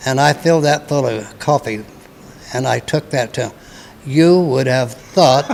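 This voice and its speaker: A man with an American accent and medium pitch speaks at a moderate pace with ordinary pitch variation. Long, frequent pauses break his speech, and there is noticeable background noise. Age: 80s+. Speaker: war veteran. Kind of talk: interview answer.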